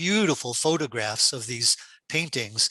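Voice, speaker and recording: Against a quiet background, a man speaks at a moderate pace in a bright, sharp tone, the sound dry and close with no echo. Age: 70s. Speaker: dance historian and lecturer. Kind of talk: Q&A after a lecture.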